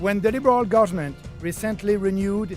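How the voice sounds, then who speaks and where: Over music in the background, a man in a French-Canadian accent speaks with ordinary pitch variation. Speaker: politician, party leader. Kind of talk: political speech.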